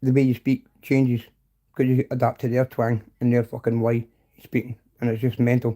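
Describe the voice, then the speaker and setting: Dry and close with no echo, a dark, mellow voice moves at a fairly quick pace with monotone, flat intonation and big swings in loudness. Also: man, medium pitch for a man. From Scotland, between Glasgow and Edinburgh. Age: 40s. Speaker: livestreamer. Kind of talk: casual chat. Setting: live stream.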